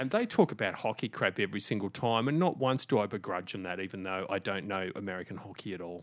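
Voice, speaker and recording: A man with an Australian accent talks at a very fast pace with hardly any pauses, fairly low in pitch with ordinary pitch variation. The recording is very clean, with a silent background. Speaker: podcast host.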